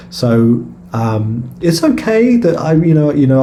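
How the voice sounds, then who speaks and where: Recorded with audible room echo and noticeable background noise, a man speaks with a British accent. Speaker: stock trader and video creator. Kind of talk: trading chart review. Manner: halting, many fillers and repeated words; casual.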